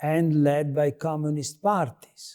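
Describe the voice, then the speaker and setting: A man speaks with an Italian accent. His fairly high voice has a dark, mellow tone. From Italy. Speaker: political philosopher, professor. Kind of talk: interview. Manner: halting.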